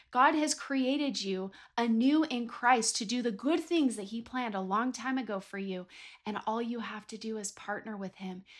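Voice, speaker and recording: A woman with an American accent speaks in an animated tone at a moderate pace. Her fairly high voice shows ordinary pitch variation. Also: very clean recording, silent background. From Southern California (Ventura County). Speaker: faith podcast host, author and speaker. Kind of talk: inspirational faith monologue.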